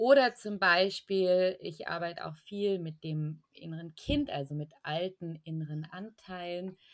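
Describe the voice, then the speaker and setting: A woman's plain, everyday voice, fairly low in pitch, at a fairly slow pace with hardly any pauses, ordinary pitch variation and big swings in loudness. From Allgäu, southern Germany. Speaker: energy healer and spiritual coach. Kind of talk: casual interview.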